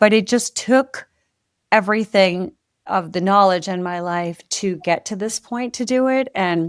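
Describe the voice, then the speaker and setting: In a very clean recording with a silent background and a dry, close sound with no echo, a woman talks at a fairly slow pace in a plain, everyday voice with ordinary pitch variation. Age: 60s. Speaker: author and former music publishing executive. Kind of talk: podcast interview.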